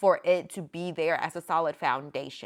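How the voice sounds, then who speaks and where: A woman speaks with a fairly low pitch and an American accent. The recording is very clean, with a silent background. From North Carolina, small town. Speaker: podcast host, business coach. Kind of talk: solo podcast monologue. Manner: casual, frank, animated.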